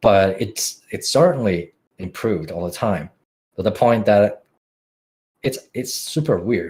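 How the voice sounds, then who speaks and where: At a fairly slow pace with long, frequent pauses, a man speaks at a fairly low pitch, somewhat breathy, with lively intonation. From Finland. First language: Finnish. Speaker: music producer. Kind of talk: podcast interview. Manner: halting.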